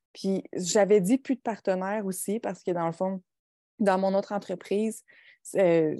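A woman's medium-pitched voice, dark and mellow in tone, at a moderate pace, with a dry, close sound and no echo. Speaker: podcast co-host and entrepreneur. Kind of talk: casual chat. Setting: video call. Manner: soft-spoken.

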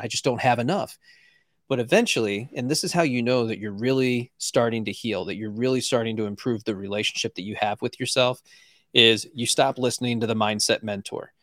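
A normal speaking voice goes at a fairly quick pace with ordinary pitch variation. The recording is very clean and dry, close-sounding with no echo and a silent background. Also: man. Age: 40s. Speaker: podcast host and coach, former chef and police officer. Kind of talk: interview, casual conversation.

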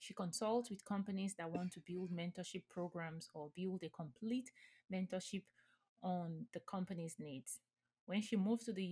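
In a dry, close sound with no echo, a woman at medium pitch talks at a moderate pace, somewhat breathy, with ordinary pitch variation. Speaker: podcast host, CEO and nonprofit founder. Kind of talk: scripted narration.

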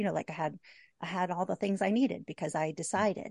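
Over a quiet background with a dry, close sound and no echo, a woman talks at a very fast pace with vocal fry, a medium pitch and ordinary pitch variation. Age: 50s. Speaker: graphic designer and photographer. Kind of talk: casual interview chat.

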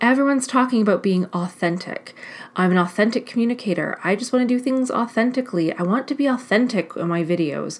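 The delivery has an energetic tone, a fairly quick pace and ordinary pitch variation. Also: woman. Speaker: life coach and podcast host. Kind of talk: solo podcast monologue. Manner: fast.

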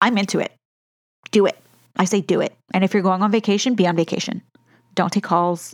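A woman talks at medium pitch and a fairly quick pace, in an animated tone with very even loudness. Her long, frequent pauses come through in a dry, close sound with no echo. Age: 30s. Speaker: podcast host and beauty business coach. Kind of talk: solo podcast monologue.

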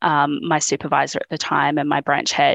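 Speaking at a fairly quick pace with an Australian accent, a woman uses a very deep, low pitch, recorded with a dry, close sound, no echo, and a quiet background. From regional Australia. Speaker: public servant. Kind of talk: group coaching conversation. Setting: video call from home studio. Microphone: good audio setup.

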